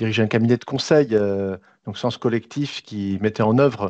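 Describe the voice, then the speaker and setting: A man with an unremarkable speaking voice talks at a moderate pace and fairly low pitch, with ordinary pitch variation. The background is quiet. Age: 60s. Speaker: business school executive. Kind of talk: webinar interview.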